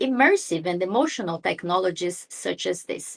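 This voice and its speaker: A woman speaks at a moderate pace with a Brazilian accent. Her intonation is lively. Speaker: lawyer and AI ethicist, philosopher speaker. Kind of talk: online talk / webinar presentation. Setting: video call webinar.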